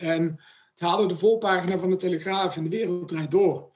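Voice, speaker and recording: Over background music, a man speaks at a high pitch. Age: 40s. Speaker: sponsorship manager. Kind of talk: interview.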